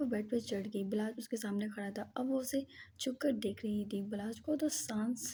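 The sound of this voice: An unforced reading voice carries the text.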